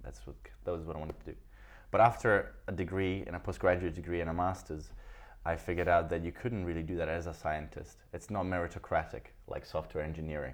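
Speaking at a very fast pace in an Italian accent, a man uses a very deep, low pitch with vocal fry and ordinary pitch variation. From Italy. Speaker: podcaster. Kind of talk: casual interview chat.

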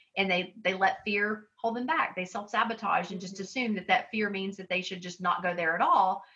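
Showing big swings in loudness, a woman with an ordinary speaking voice talks at a medium pitch and a moderate pace, with ordinary pitch variation and hardly any pauses. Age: 50s. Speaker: author and life coach. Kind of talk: casual chat.

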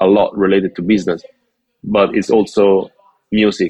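A man talks fairly slowly at a fairly low pitch, the sound dry and close with no echo. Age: 40s. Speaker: tour booker and promoter. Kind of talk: casual interview. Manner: halting, many repetitions.

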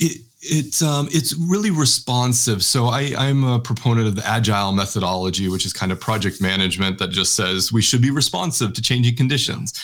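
A normal speaking voice with an American accent, fairly quick, lively in intonation, with hardly any pauses. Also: man, medium pitch for a man. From Texas. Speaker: researcher and social entrepreneur. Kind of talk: interview conversation.

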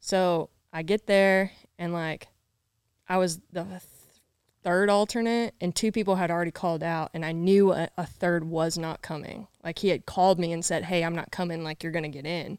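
In a Southern US accent, a woman speaks at a moderate pace with a fairly low pitch and fairly even intonation, in a dry, close sound with no echo on a very clean recording with a silent background. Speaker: bull rider. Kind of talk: casual interview chat.

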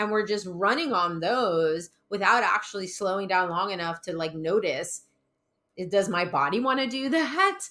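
A woman's medium-pitched voice at a moderate pace, with lively intonation and a bright, sharp tone. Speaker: podcast host, clinical psychologist. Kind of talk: interview, podcast conversation.

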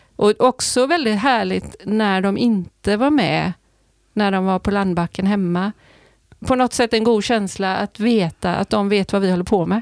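On a very clean recording with a silent background, a woman with a plain, everyday voice speaks at a moderate pace and medium pitch with ordinary pitch variation. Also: dry, close sound with no echo. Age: 60s. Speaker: sailor and psychologist. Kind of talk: casual interview.

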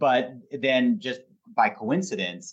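A man speaks with a Pacific Northwest accent. His pitch varies in an ordinary way. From Portland, Oregon. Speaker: former state legislator and recycling nonprofit executive. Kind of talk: interview conversation.

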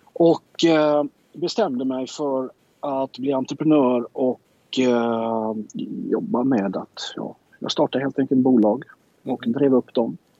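A man talks very slowly at a medium pitch, his pitch shifting in an ordinary way. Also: dry, close sound with no echo. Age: 50s. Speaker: entrepreneur. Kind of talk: interview.

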